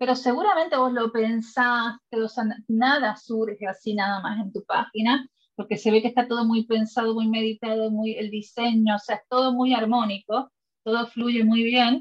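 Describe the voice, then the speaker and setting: A woman speaks at a fairly slow pace in an ordinary speaking voice. Her pitch varies in an ordinary way. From Puerto Rico. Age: 40s. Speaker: podcast host, lawyer. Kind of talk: casual interview chat.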